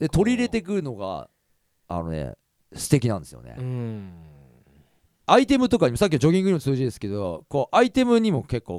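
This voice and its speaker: In a dry, close recording with no echo, a man talks very fast in an animated tone, with big swings in loudness and long, frequent pauses. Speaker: podcast host and singer. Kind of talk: casual chat.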